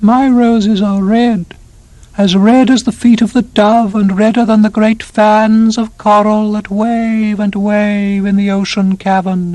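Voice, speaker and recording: A put-on character voice comes out fairly high in pitch, monotone and flat, at a fairly slow pace. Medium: audio drama. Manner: solemn, grave.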